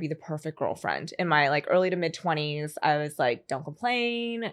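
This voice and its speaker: An unremarkable speaking voice: a woman at a fairly low pitch and moderate pace, with ordinary pitch variation. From US, Philadelphia area. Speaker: content creator. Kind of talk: casual chat.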